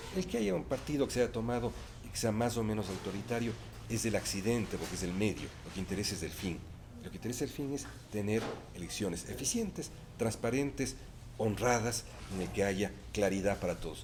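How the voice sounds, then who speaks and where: A man speaks at a fairly quick pace in a fairly low voice. His pitch varies in an ordinary way, and the room echo is audible. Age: 60s. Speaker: electoral council member. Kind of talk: interview.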